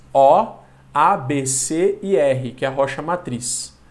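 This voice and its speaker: A man talks in a space with audible room echo. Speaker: geography teacher. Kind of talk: lecture. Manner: animated.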